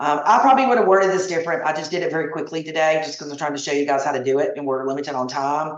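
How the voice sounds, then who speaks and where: A woman speaks at a very fast pace with hardly any pauses. Her pitch is very deep and low, with ordinary pitch variation. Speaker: travel agent trainer. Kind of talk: tutorial.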